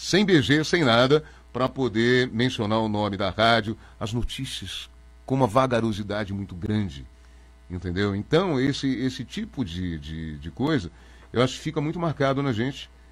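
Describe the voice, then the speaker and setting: A man talks at medium pitch with very wide pitch swings. The recording is very clean, with a silent background. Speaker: radio announcer. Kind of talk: interview. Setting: studio. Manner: fast; animated.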